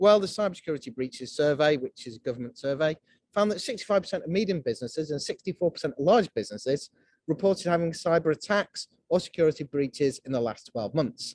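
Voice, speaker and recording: Lively intonation drives very fast speech that sounds dry and close, with no echo. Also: man, fairly high pitch for a man. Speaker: cyber security company director. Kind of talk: webinar presentation.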